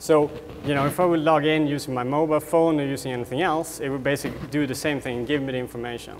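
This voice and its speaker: A man speaks very fast in a fairly high voice with a Swedish accent and fairly even intonation. There is noticeable background noise. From Sweden. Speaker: tech company co-founder. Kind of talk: product demo presentation. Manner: rambling, many fillers.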